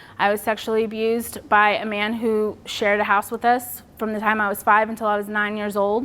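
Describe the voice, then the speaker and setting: With a Texan accent, a woman talks fairly quickly with hardly any pauses. Her voice is fairly high and her intonation flat and monotone. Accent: Texan American. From Texas. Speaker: public speaker on suicide loss. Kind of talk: personal testimony talk.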